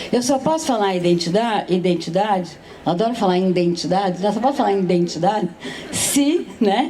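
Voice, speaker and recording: Over noticeable background noise and audible room echo, a woman speaks at a fairly quick pace and medium pitch, with lively intonation and very even loudness. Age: 70s. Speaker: philosopher, panel speaker. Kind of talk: panel talk at a literary festival.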